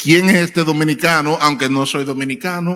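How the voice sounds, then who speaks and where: A high-pitched man with fairly even intonation, over noticeable background noise. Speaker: preacher and church elder. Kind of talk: sermon. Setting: church. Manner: hesitant fillers (eh).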